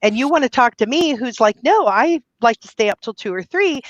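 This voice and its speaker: A woman speaks at a moderate pace with a fairly high pitch and very wide pitch swings. Her tone is animated, and the sound is dry and close with no echo. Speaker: guest on business podcast, event photographer. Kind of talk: casual interview chat. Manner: stutters.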